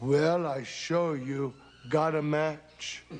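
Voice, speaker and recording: A man puts on a character voice with a fairly high pitch. His intonation stays monotone and flat. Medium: comedy sketch.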